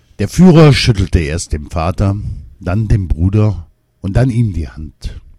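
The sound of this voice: Quiet surroundings and an unforced reading voice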